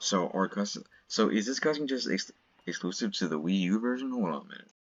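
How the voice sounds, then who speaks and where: Speaking very fast with lively intonation, a man uses a fairly low pitch. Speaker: gaming commentator. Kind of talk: casual gameplay commentary. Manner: stuttering, halting. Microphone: laptop mic; audio issues.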